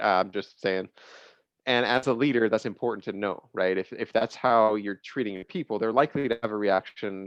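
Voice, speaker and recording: A man talks at a fairly quick pace. His pitch is medium. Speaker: business leader. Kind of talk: casual panel discussion. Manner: loud.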